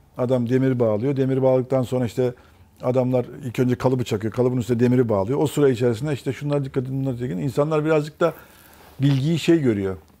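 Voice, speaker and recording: Speaking at a very fast pace, a man has a medium pitch. His tone is dark and mellow, with ordinary pitch variation. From Turkey, raised in many places incl. Erzurum; Turkey. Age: 50s. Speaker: mechanical engineer; guest. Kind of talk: interview. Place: studio. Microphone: lapel.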